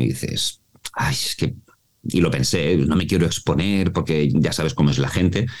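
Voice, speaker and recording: A man talks at a fairly quick pace. His voice carries vocal fry. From Mallorca, Spain. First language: Mallorquin Catalan (bilingual) (speaking Spanish). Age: 40s. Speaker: voice actor and voice coach. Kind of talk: interview.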